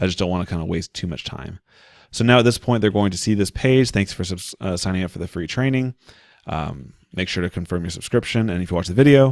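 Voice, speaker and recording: Against a quiet background with dry sound and no echo, a man with a very deep, low voice talks very fast with lively intonation. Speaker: online marketing tutorial creator. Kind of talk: screen-share tutorial. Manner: casual, conversational. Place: home room. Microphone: studio mic.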